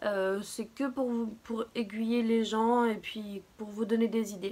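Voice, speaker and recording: This woman talks at a very slow pace in a fairly high, monotone voice with flat intonation. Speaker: beauty and lifestyle YouTuber. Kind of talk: casual talk to camera.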